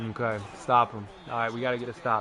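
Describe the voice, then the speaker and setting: Over music in the background, a man speaks in an animated tone at a medium pitch. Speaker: gaming video creator. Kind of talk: gameplay commentary. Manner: loud.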